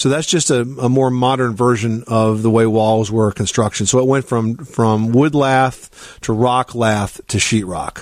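In an ordinary speaking voice, a man of medium pitch speaks with hardly any pauses, fairly even intonation and very even loudness. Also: fairly slow pace. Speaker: radio home improvement host. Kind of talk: call-in radio show.

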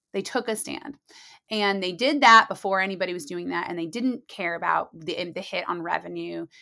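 A woman speaks with an American accent at a moderate pace. The recording is very clean with a silent background. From US Midwest (Muncie, Indiana). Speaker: marketing executive. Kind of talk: interview. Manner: laid back.

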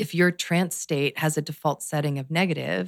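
In a calm tone with vocal fry, a woman speaks with a very deep, low pitch, ordinary pitch variation and an American accent, recorded dry and close with no echo. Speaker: meditation teacher and hypnotherapist. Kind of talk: interview chat.

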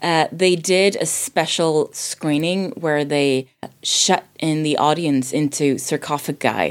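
A woman with a slight Swedish accent, a very deep, low pitch and ordinary pitch variation. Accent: near-native English, little Swedish. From Sweden. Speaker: voice actor and drama teacher. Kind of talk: casual film discussion. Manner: many filler hesitations.

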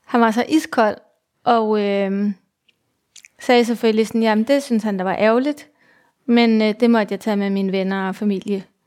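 Long, frequent pauses break up speech delivered at a moderate pace with fairly even intonation on a very clean recording with a silent background. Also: woman. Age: 40s. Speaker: mother with multiple sclerosis. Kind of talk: personal testimony interview. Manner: halting, many fillers.

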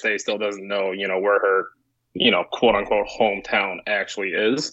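Monotone and flat in intonation, a man talks with an American accent. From China, then Canada, then Chicago area from 14. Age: 30s. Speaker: firearms parts manufacturer. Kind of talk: casual panel discussion.

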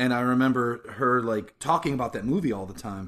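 In an ordinary speaking voice, a man talks at a medium pitch with fairly even intonation against a quiet background. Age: 40s. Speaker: podcast co-host. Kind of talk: casual chat.

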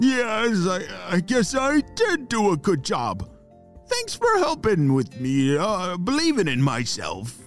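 In a put-on character voice, a man talks slowly at a high pitch with very wide pitch swings while faint music plays in the background.

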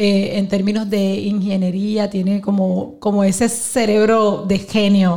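A woman speaks in a dark, mellow tone. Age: 40s. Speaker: pastor and businesswoman. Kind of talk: live podcast interview. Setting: live event with audience.

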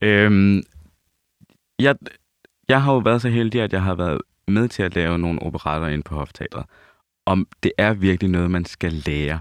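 Against a quiet background, a man with a very deep, low pitch speaks at a fairly slow pace with ordinary pitch variation and long, frequent pauses, in a dry, close sound with no echo. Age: 30s. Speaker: opera singer. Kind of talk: casual chat.

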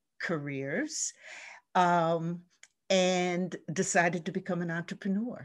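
A woman with an American accent, an ordinary speaking voice, fairly low pitch, fairly slow pace, and a quiet background. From US Northeast, New Jersey shore. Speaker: leadership coach and nonprofit director. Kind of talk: podcast interview.

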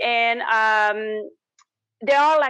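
Her tone bright and sharp, a woman speaks with a French Canadian accent. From Quebec, Canada. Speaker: tax strategist and business owner. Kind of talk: interview answers.

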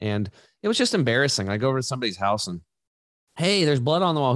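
Over a quiet background, a man with an American accent talks at a very fast pace, his pitch swinging very widely. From US Northwest, eastern Oregon. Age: 40s. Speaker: natural health entrepreneur. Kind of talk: casual interview. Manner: animated.

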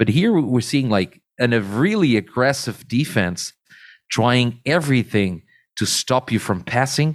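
A man with a Portuguese accent talks at a fairly slow pace with medium pitch and lively intonation, in a very clean recording with a silent background. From Portugal. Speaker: beach handball expert. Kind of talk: casual chat.

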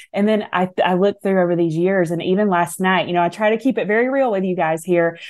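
A woman's very fast speech with a Southern US accent, at medium pitch with ordinary pitch variation, very even loudness and a quiet background. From US South. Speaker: author and speaker. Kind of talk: radio interview chat.

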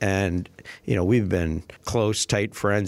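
A man's fairly low voice with an American accent and ordinary pitch variation, in a very clean recording with a silent background. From Minnesota, US. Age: 50s. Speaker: retired sports public relations staffer. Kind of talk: casual storytelling interview.

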